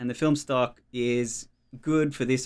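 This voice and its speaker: Heard on a very clean recording with a silent background, a man with an Australian accent speaks fairly slowly at a medium pitch with fairly even intonation. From Australia, Melbourne outer eastern suburbs. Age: 30s. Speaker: cinematographer. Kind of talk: casual interview chat.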